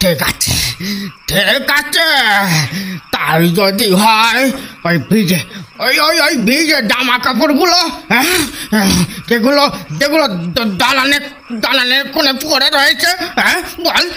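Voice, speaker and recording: A put-on character voice at a high pitch and a fairly slow pace, over clear background noise. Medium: audio drama. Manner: stammering, agitated.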